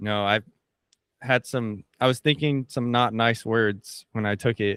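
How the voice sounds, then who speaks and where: A man speaks in a normal speaking voice at a medium pitch, fairly slowly and with fairly even intonation, on a very clean recording with a silent background. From El Paso, Texas. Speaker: personal trainer. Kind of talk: casual chat.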